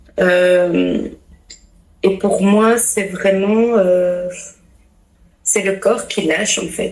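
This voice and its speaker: With audible room echo, a woman speaks very slowly at a medium pitch in a monotone, flat intonation. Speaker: pastor's wife and family coach. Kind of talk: podcast interview, testimony. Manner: hesitant, many fillers.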